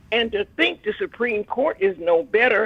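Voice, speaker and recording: A woman speaks at a fairly slow pace. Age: 90s. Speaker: caller, elderly civil rights activist. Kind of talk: call-in radio comment.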